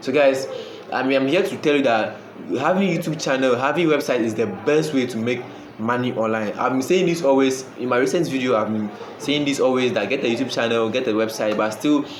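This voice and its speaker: Recorded with audible room echo and noticeable background noise, a man speaks at a fairly quick pace in a medium pitch with ordinary pitch variation. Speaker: online money-making YouTuber. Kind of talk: casual talk to camera. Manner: fast; halting, with many repeated words.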